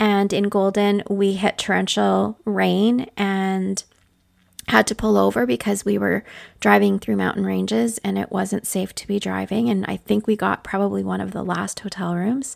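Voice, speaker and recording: A woman with a Canadian accent at a moderate pace. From northwestern Ontario, Canada. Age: 50s. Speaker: podcast host, leadership consultant and nurse. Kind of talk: casual solo podcast monologue. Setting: home office.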